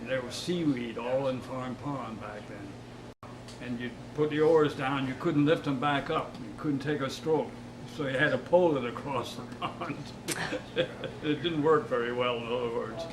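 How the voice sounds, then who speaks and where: Amid noticeable background noise, a man with an American accent speaks at a moderate pace and medium pitch, with fairly even intonation and big swings in loudness. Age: 80s+. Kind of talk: interview answer.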